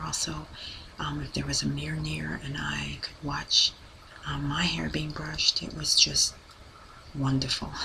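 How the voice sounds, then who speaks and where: A woman speaks softly at a moderate pace. Background noise is noticeable. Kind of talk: soft-spoken ASMR talk. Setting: home recording with a poor mic. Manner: soft-spoken.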